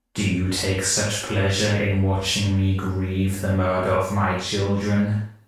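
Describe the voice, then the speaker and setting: In a put-on character voice, a man rumbles in a guttural, fairly low tone with monotone, flat intonation, speaking at a fairly slow pace with hardly any pauses amid strong echo. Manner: accusing, grieving.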